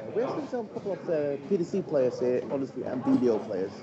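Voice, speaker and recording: Talking at a very fast pace, a man with a fairly high pitch swings his voice very widely, with noticeable background noise behind him. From Sweden. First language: Swedish. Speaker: darts stream commentator. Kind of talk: live stream commentary chat.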